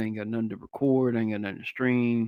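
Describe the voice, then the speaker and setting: A man at medium pitch with a Southern US accent, talking at a very fast pace in a flat, monotone delivery. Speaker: podcast host. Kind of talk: casual interview chat.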